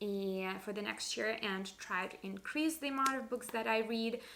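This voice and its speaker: This woman has a non-native accent and a fairly high pitch. She speaks at a moderate pace with ordinary pitch variation. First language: not English. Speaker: book vlogger. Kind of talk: casual monologue video.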